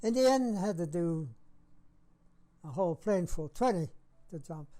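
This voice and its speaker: Speaking at a moderate pace, a man has a high-pitched voice with a dark, mellow tone. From Saskatchewan, Canada. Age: 90s. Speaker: war veteran. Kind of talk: interview. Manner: halting.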